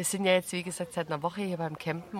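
A woman with a fairly low pitch speaks in a calm tone over noticeable background noise. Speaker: podcast host. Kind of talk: casual interview. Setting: outdoors at a campsite.

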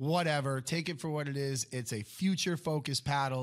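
In a plain, everyday voice, a man with an American accent speaks at a moderate pace and a medium pitch on a very clean recording with a silent background. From Connecticut, Stamford. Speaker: pickleball coach. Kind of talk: casual chat.

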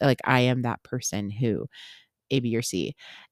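Raspy and animated, a woman with a very deep, low pitch comes through with a dry, close sound without echo. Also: very clean recording, silent background. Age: 30s. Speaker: podcast host. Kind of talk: solo casual monologue. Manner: animated, profane.

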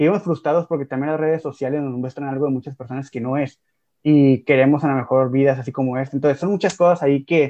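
The man's fairly high voice races along very fast, its intonation fairly even. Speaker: podcast co-host, teacher. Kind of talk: casual chat.

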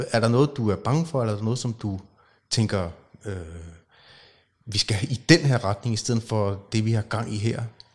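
On a very clean recording with a silent background, a somewhat breathy man speaks at a moderate pace and medium pitch, with long, frequent pauses. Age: 40s. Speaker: podcast host. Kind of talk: casual interview conversation. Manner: hesitant, many fillers.

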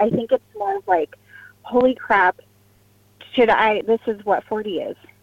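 At a moderate pace, a woman with a fairly high pitch and ordinary pitch variation is heard in a dry, close sound without echo, with noticeable background noise. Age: 30s. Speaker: caller. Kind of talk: call-in advice conversation.

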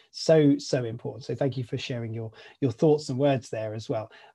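In a British accent, a man speaks fairly quickly at a fairly high pitch with ordinary pitch variation. His voice is somewhat breathy, set against a quiet background. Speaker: podcast host. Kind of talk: casual interview chat.

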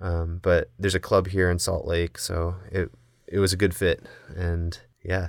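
A man with an American accent speaks at a very deep, low pitch and a moderate pace, in a monotone, flat way. The recording is very clean, with a silent background. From US Midwest, Indiana. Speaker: table tennis coach. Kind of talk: casual chat.

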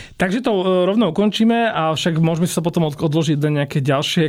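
Behind a man's voice there is noticeable background noise. He speaks fairly high and at a fairly quick pace, with ordinary pitch variation. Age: 30s. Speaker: food podcast host. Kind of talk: casual interview.

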